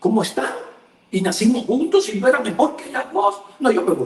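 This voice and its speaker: The voice belongs to a man. His pitch swings very widely. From Cuba. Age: 60s. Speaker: journalist. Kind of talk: casual chat.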